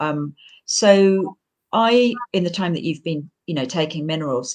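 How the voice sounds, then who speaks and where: In a normal speaking voice, a woman talks at a fairly slow pace with lively intonation and a fairly low pitch. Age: 60s. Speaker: homeopathic practitioner and teacher. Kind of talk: interview.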